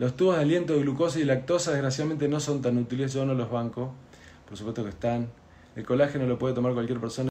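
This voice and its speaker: A very fast, medium-pitched male voice, somewhat breathy, with a dark, mellow tone and ordinary pitch variation. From Argentina. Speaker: doctor. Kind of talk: health explainer video, answering viewer questions. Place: home room. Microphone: phone near.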